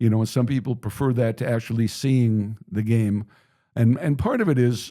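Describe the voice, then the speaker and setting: A man's medium-pitched, plain, everyday voice with very even loudness and fairly even intonation. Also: moderate pace. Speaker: baseball radio play-by-play broadcaster. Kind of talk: interview answer. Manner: friendly, conversational.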